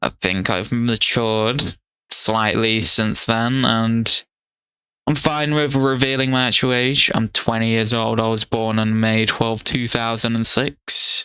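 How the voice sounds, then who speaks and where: The voice has a bright, sharp tone and very even loudness, moving at a fairly slow pace with fairly even intonation. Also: man, medium pitch for a man. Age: 20s. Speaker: youtuber. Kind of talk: casual monologue. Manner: rambling, halting.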